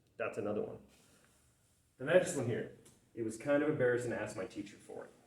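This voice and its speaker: Audible room echo hangs around the voice. It belongs to a man. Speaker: middle school English teacher. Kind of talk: recorded remote lesson. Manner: loud; animated, boisterous.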